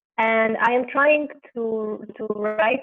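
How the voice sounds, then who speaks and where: A woman speaks in an Arabic accent. Her pitch is fairly high and her intonation fairly even. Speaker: aspiring writer, workshop participant. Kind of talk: asking a question. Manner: halting.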